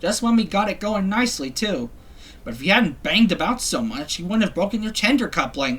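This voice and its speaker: Using a put-on character voice, the speaker talks at a fairly high pitch and a fairly quick pace. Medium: read story.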